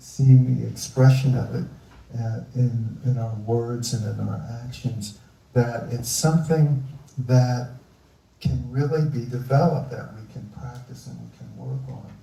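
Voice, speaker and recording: A man with an American accent speaks at a fairly slow pace in a somewhat breathy, medium-pitched voice with a dark, mellow tone and fairly even intonation. His loudness swings widely, and audible room echo surrounds him. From US Northeast, Philadelphia. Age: 70s. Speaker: environmentalist. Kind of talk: live onstage interview.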